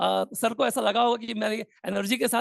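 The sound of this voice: A man with an extremely high pitch and vocal fry, at a moderate pace with fairly even intonation, in a dry, close sound with no echo.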